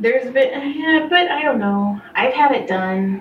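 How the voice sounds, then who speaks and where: A woman's lively, expressive voice at a moderate pace, with noticeable background noise. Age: 30s. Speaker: podcast host and massage therapist. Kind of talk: casual chat.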